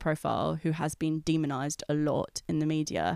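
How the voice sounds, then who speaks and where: A woman with a London accent speaks at a very deep, low pitch in a monotone, flat intonation. The recording is very clean with a silent background and sounds dry and close with no echo. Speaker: editor and writer. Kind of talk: casual interview. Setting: recorded on location.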